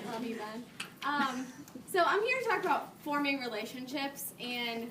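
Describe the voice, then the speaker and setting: A woman's raised, projected voice, high in pitch with ordinary pitch variation, at a moderate pace, with audible room echo. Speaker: fitness coach. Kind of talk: talk to a live audience. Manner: mumbling; casual.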